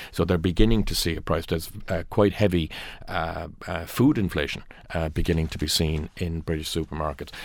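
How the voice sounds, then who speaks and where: Speaking in a rural Irish accent, a man talks at a fairly quick pace in a very deep, low voice with ordinary pitch variation. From rural Ireland. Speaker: newspaper news editor. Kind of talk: newspaper review panel discussion. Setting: radio studio. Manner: halting.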